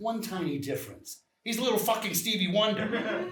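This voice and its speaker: Using a put-on character voice, a man speaks high and gruff at a moderate pace with ordinary pitch variation. There is slight echo. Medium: stage play. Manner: profane, gruff.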